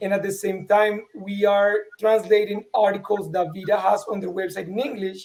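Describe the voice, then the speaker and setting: A man's high-pitched voice with a Spanish accent, monotone and flat, at a moderate pace. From Colombia. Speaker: vestibular patient and online show host. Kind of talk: panel interview.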